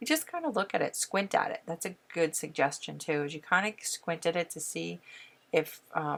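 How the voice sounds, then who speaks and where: Soft-spoken and fairly low-pitched, a woman talks at a moderate pace. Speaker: painting teacher. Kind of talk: tutorial. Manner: casual.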